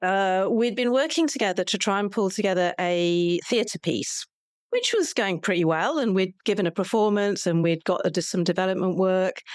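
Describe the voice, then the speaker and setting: A woman speaks at a medium pitch and a moderate pace, with ordinary pitch variation and very even loudness. It is an ordinary speaking voice. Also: very clean recording, silent background. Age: 60s. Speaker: podcast co-host and folk singer. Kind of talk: interview.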